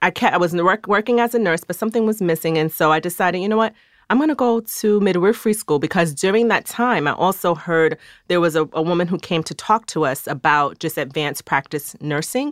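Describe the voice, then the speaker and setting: An unremarkable speaking voice moves at a fairly quick pace with lively intonation, in a very clean recording with a silent background. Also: woman, fairly low pitch for a woman. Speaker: midwife. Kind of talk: interview. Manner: calm.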